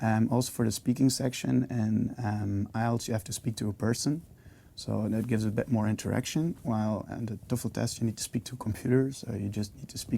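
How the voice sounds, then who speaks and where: A man talks at a medium pitch with ordinary pitch variation and a Flemish accent. His tone is dark and mellow. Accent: Belgian (Flemish) English. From Belgium. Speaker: university student. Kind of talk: interview testimony. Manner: hesitant, many fillers.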